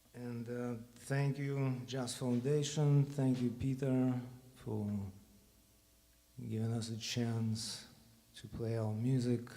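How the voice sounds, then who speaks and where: With a Russian accent, a man of medium pitch speaks in a dark, mellow tone, flat and monotone, at a very slow pace with long, frequent pauses and audible room echo. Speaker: bandleader. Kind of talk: stage talk to audience. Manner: halting.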